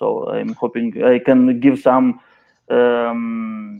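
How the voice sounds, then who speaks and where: Here a man speaks with a non-native accent at a medium pitch. His intonation is flat and monotone. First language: not English. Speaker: writer and community member. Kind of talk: casual video-call discussion. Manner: halting, searching for words.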